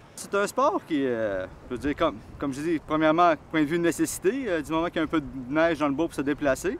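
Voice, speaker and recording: The speaker goes at a very fast pace with lively intonation. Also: man, fairly high pitch for a man. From Quebec, Montreal. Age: 40s. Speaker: snowshoe racer. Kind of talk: interview.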